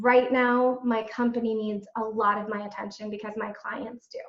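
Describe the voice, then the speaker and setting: A fairly high-pitched woman's voice with audible room echo. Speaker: executive and financial coach. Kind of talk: webinar presentation.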